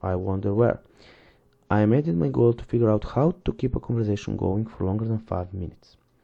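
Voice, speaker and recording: A man at medium pitch with a non-native accent, a dark, mellow tone and a somewhat breathy sound. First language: not English. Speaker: book reviewer. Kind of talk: reading aloud with commentary. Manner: halting.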